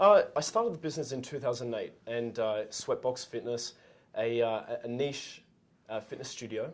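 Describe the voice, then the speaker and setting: With an Australian accent, the words come at a moderate pace. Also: man. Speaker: entrepreneur, former gym owner. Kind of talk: casual interview. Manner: halting, many fillers.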